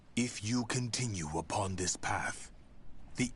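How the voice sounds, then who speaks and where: A man's put-on character voice with a solemn tone, over clear background noise. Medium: video game. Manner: solemn, measured, cryptic.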